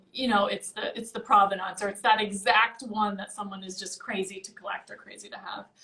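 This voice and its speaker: A woman's medium-pitched voice, fairly even in intonation, carries over noticeable background noise. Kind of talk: casual interview answer about auction results.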